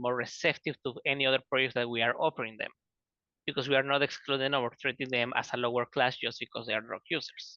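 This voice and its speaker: A man in a Spanish accent, bright and sharp in tone, at a very fast pace, dry and close with no echo over a quiet background. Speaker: student researcher. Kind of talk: online panel presentation.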